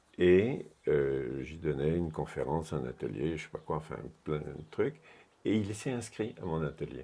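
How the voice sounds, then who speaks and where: With vocal fry and a dark, mellow tone, a man of very deep, low pitch speaks at a fairly slow pace with lively intonation. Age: 70s. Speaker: retired workshop speaker at an osteopathy meeting. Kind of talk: interview. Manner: animated.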